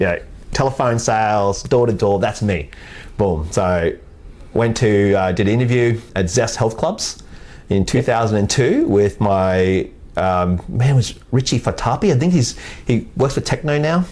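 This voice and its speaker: A man with an Australian accent talks at a fairly slow pace, his medium pitch carried by lively intonation. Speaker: sales executive in the fitness industry. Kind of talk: podcast interview. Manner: halting.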